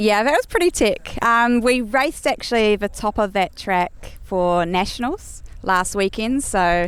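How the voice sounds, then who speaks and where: Lively intonation in a New Zealand accent, a fairly slow pace, hardly any pauses and very even loudness. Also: woman, fairly high pitch for a woman. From New Zealand, Nelson area. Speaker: pro enduro mountain biker. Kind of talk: casual interview.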